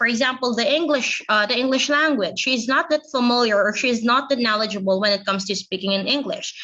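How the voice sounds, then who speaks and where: The speaker is a woman with a Filipino accent. Her pitch is high, with ordinary variation. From Philippines. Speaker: teacher. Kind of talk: lecture.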